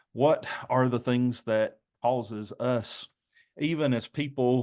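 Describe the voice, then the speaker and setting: A man speaks at a medium pitch with ordinary pitch variation and a slight Southern US accent. His pace is very slow. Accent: mild Southern US. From North Carolina. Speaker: pastor. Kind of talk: presentation.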